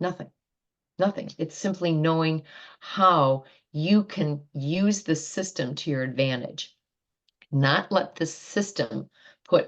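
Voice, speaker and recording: A woman at a very slow pace and fairly low pitch against a quiet background. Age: 60s. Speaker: wellness doctor. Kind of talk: interview.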